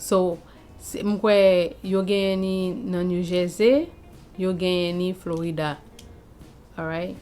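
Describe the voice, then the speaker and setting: A woman with a Haitian accent, music in the background. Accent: Haitian Creole. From Haiti, Saint-Marc. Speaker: lifestyle vlogger. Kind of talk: casual vlog chat.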